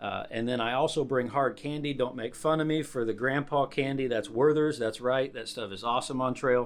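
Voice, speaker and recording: A normal speaking voice from a man at medium pitch, fairly even in intonation, in a very clean recording with a silent background. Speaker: hiking vlogger. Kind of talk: gear tutorial vlog. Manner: casual with many fillers.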